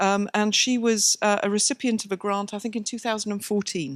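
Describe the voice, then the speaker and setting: At a fairly quick pace, a woman talks in a fairly high pitch, the sound dry and close with no echo. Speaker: scientist and committee chair. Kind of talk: conference introduction. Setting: stage with audience at a conference.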